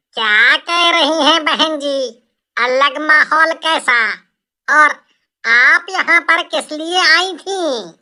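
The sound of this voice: A squeaky, high-pitched cartoonish character voice at a very slow pace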